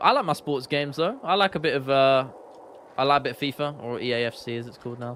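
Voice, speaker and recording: A man rattles along at a very fast pace in a London accent, with ordinary pitch variation. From London, England. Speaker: gaming streamer and YouTuber. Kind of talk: casual live-stream chat. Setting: live stream. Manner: animated, chatty with frequent fillers.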